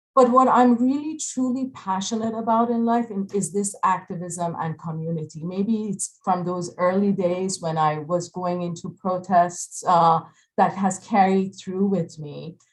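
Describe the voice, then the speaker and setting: Speaking at medium pitch with ordinary pitch variation, a woman goes at a fairly slow pace with hardly any pauses, her voice somewhat breathy. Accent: Iranian. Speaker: architect. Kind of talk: panel presentation. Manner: halting, many fillers.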